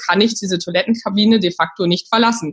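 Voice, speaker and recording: Somewhat breathy, a woman at medium pitch talks at a fairly quick pace with ordinary pitch variation. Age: 30s. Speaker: startup founder. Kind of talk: interview.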